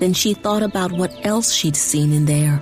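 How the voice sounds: Faint music plays in the background as a woman speaks at a moderate pace, her fairly low pitch varying in an ordinary way and her tone slightly mellow.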